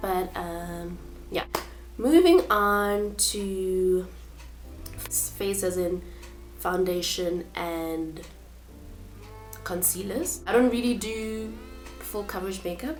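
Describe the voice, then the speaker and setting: Over music in the background, a woman speaks at a very slow pace with long, frequent pauses, and the room echo is audible. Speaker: beauty vlogger. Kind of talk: product walkthrough. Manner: hesitant, many fillers.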